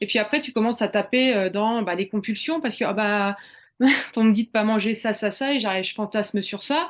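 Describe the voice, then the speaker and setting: An ordinary speaking voice: a woman with a fairly high pitch talks at a fairly quick pace with ordinary pitch variation against a quiet background. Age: 40s. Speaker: cooking therapy coach. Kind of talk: casual interview chat.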